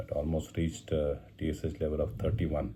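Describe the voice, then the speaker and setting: With a Marathi Indian accent, a man speaks at a moderate pace in a very deep, low, somewhat breathy voice with a dark, mellow tone. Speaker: cancer survivor vlogger. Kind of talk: personal video diary. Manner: halting, many fillers.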